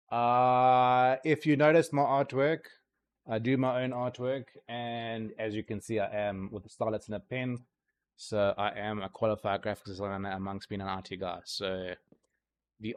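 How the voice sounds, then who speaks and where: Using an American accent, a man talks at a moderate pace and medium pitch with ordinary pitch variation. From South Africa. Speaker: gaming streamer. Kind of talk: casual live-stream chat. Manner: casual, hesitant with many fillers.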